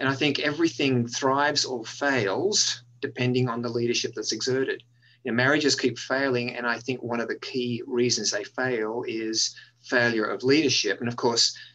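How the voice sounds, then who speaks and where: A man speaks with an Australian accent in a bright, sharp tone at medium pitch. His pace is moderate, and his intonation is fairly even. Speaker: university dean. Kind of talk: interview. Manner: frequent filler words.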